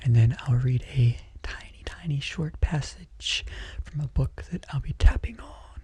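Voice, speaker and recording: Soft-spoken and calm in tone, a man talks with big swings in loudness. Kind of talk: casual talk to camera. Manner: soft-spoken, calm.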